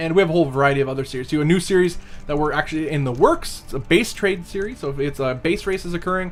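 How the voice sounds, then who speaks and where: The speaker talks at a very fast pace with music playing in the background. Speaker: esports stream caster. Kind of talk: casual chat on live stream. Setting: live stream.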